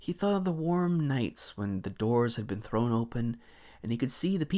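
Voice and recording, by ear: The speaker is reading aloud in a natural voice, with lively intonation.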